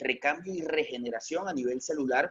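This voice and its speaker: A man is speaking. His pace is fairly quick. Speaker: veterinarian. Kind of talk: lecture.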